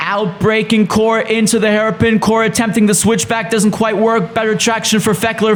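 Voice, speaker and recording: Over noticeable background noise, a man with a high pitch speaks at a fairly quick pace. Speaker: sim racing commentator. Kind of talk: race highlights commentary.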